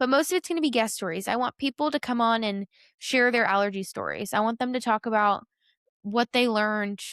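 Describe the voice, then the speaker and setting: Recorded very cleanly against a silent background, with a dry, close sound and no echo, a woman uses an ordinary speaking voice at a fairly high pitch and a fairly quick pace, with ordinary pitch variation. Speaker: podcast host. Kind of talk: solo podcast monologue.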